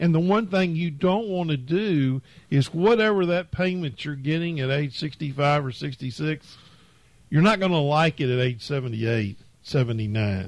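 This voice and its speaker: Very slow pace and lively intonation over a quiet background. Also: man, fairly high pitch for a man. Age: 70s. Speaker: financial advisor. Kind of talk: casual chat. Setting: studio.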